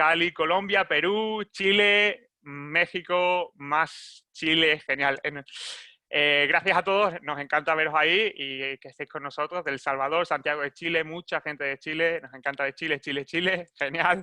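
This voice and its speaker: Recorded dry and close with no echo against a quiet background, a man with a Spanish accent speaks at a fairly slow pace, fairly high in pitch and bright, sharp in tone, with fairly even intonation. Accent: Spanish (Spain). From Spain. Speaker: webinar moderator, marketing manager. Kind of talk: webinar presentation. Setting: live online webinar. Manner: halting, many fillers and repetitions.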